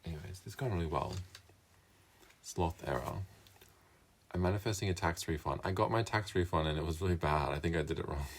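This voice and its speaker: A man's very deep, low, somewhat breathy voice at a very fast pace, with ordinary pitch variation and long, frequent pauses. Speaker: live streamer. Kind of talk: casual live stream chat. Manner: hesitant, filler-heavy.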